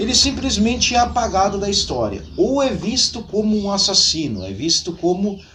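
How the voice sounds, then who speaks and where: A man with a southern Brazilian accent talks in very wide pitch swings, with noticeable background noise and audible room echo. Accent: gaucho Brazilian Portuguese. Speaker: history YouTuber. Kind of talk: storytelling history talk. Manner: conversational, folksy.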